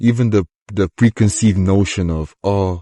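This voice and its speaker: Dry and close with no echo over a quiet background, a man with a non-native accent speaks in a dark, mellow tone with ordinary pitch variation. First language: not English (English is third language). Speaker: fighter and combat sports commentator. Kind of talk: casual vlog monologue. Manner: rambling, halting.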